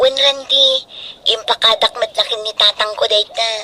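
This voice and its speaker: A female-sounding voice speaks at a moderate pace in a put-on character voice. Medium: audio drama.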